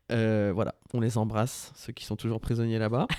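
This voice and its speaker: In a normal speaking voice, a man talks at a moderate pace and medium pitch. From Brittany, France. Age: 40s. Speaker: podcast co-host. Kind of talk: casual chat.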